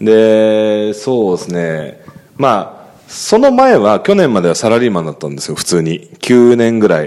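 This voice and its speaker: A man at a fairly low pitch with ordinary pitch variation and a fairly slow pace, against noticeable background noise. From Chiba, Japan. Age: 30s. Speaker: podcast co-host, forex trading instructor. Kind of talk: casual chat. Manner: many fillers and hesitations.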